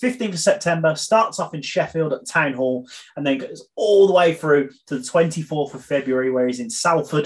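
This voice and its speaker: In a normal speaking voice, lively intonation and big swings in loudness run together with hardly any pauses. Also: man, fairly high pitch for a man, moderate pace. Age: 30s. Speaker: podcast co-host. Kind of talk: casual chat; announcement of tour dates.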